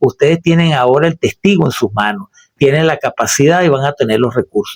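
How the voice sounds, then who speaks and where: A man with a plain, everyday voice and a fairly high pitch talks at a fairly quick pace with lively intonation and very even loudness, the sound dry and close with no echo. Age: 60s. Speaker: radio host and political commentator. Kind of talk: solo radio commentary. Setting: radio studio booth. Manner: formal.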